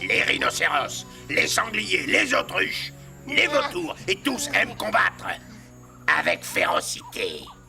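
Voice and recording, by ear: With faint music in the background, a man puts on a cartoonish character voice, high-pitched with vocal fry and a bright, sharp tone, talking slowly while his pitch swings very widely.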